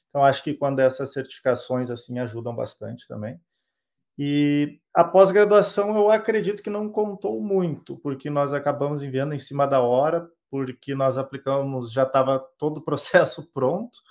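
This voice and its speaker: A plain, everyday voice from a man, fairly high in pitch with lively intonation and a moderate pace, on a very clean recording with a silent background. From southern Brazil (Rio Grande do Sul). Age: 30s. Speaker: software developer. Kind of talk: interview.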